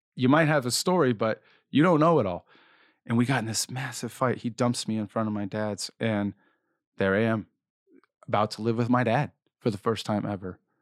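Speaking at a medium pitch, a man keeps a fairly quick pace with ordinary pitch variation and long, frequent pauses. The recording is very clean and silent in the background, with a dry, close sound and no echo. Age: 30s. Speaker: cancer survivor and speaker. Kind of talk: personal testimony interview.

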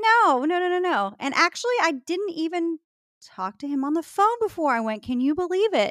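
At a moderate pace, a woman speaks with an extremely high pitch and very wide pitch swings. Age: 40s. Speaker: podcast host. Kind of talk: casual chat.

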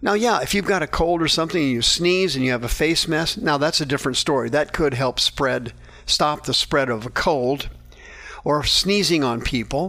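Here a man speaks with a fairly high pitch. His tone is bright and sharp. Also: ordinary pitch variation, moderate pace, very even loudness. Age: 60s. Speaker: radio preacher and counselor. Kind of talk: radio Bible teaching.

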